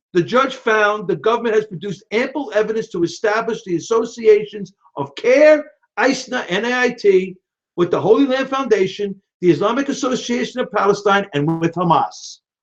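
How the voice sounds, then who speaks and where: A high-pitched man with a New York accent and ordinary pitch variation. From New York (Brooklyn). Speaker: political live-stream host. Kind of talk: live-stream commentary. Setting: live video stream. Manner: fast; animated.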